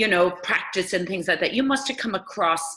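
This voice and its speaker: A woman speaks in an Irish accent at a medium pitch. Noticeable background noise runs behind her. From Ireland. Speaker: interviewer. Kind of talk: interview.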